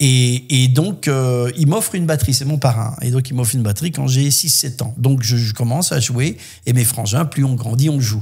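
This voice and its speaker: A man speaks at a medium pitch in a somewhat breathy voice with ordinary pitch variation. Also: moderate pace. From southwest France (Landes). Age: 60s. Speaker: voice actor and musician. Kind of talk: podcast interview, life story.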